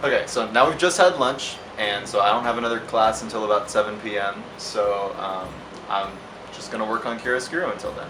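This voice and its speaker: Speaking at a fairly quick pace, a man with a medium pitch and ordinary pitch variation is heard with audible room echo and noticeable background noise. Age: 20s. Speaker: indie game developer. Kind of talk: casual vlog narration. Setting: at home.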